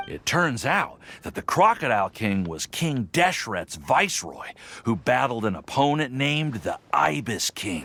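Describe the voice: A man's put-on character voice at medium pitch, bright and sharp with a slightly husky edge and vocal fry, swinging widely in pitch at a fairly slow pace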